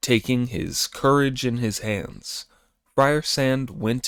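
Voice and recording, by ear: Intonation stays fairly even as a natural voice reads aloud. All around is a quiet background.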